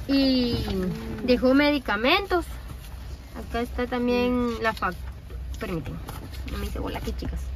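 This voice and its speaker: A woman at a moderate pace, dry sound with no echo, faint music in the background. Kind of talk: casual explanation to camera. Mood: earnest, explanatory. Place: car. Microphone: phone near.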